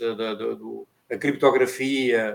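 A man's voice at medium pitch. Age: 60s. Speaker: retired navy veteran. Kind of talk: casual chat.

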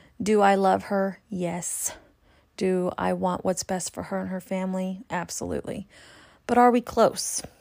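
This woman has a plain, everyday voice with an American accent, medium pitch and a fairly slow pace, in a very clean recording with a silent background. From California. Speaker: spiritual reader and podcast host. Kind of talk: monologue.

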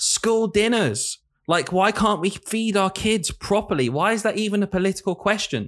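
Speaking at a very even loudness, a man uses a high pitch with a northern English accent. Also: ordinary pitch variation, moderate pace. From northern England. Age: 20s. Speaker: primary school teacher and podcast host. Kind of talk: casual chat.

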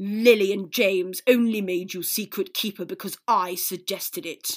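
A put-on character voice, female-sounding and middle-pitched, at a moderate pace with hissing, in a very clean recording with a silent background. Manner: hissing, venomous.

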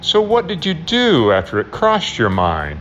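Over light background noise, a growling, put-on character voice speaks at a moderate pace. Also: man. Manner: growling, pressing.

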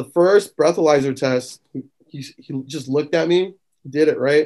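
Speaking at a moderate pace with an American accent, a man uses a fairly high pitch and a slightly mellow tone. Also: ordinary pitch variation.

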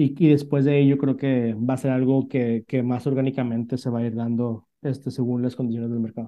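Speaking fairly quickly with hardly any pauses, a man keeps a medium-pitched, flat, monotone delivery. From northern Mexico, Monterrey. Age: 30s. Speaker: startup CEO. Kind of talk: interview. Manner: halting, many fillers.

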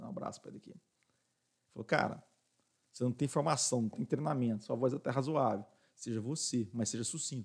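A man's somewhat breathy, medium-pitched voice at a very fast pace, with ordinary pitch variation, big swings in loudness and long, frequent pauses. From Minas Gerais, Brazil. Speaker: business owner, radio station director. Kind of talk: casual interview.

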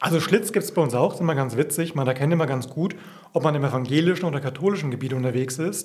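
A man talks at a very fast pace in a fairly high, somewhat breathy voice. His pitch varies an ordinary amount. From Franconia, Bavaria (Coburg region). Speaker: pastor. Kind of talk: casual interview.

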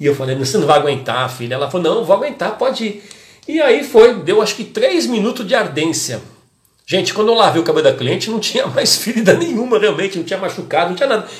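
A man talks at a very fast pace in an animated tone. His pitch is high and swings very widely. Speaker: hairdressing educator and podcast host. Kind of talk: casual live-stream talk to followers.

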